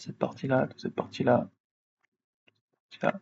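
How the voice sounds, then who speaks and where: A man talks at a very fast pace. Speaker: 3D software tutorial creator. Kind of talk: tutorial. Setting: live stream.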